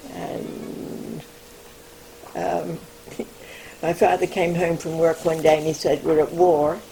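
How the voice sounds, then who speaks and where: A woman's very deep, low voice, very slow with long, frequent pauses and fairly even intonation, against noticeable background noise. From England. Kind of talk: interview answer. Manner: hesitant, rambling.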